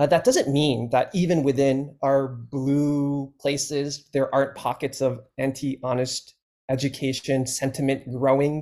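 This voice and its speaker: Hardly pausing, a man speaks in a monotone, flat way with a fairly high pitch and a dark, mellow tone. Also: fairly slow pace. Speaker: teacher. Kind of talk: casual chat.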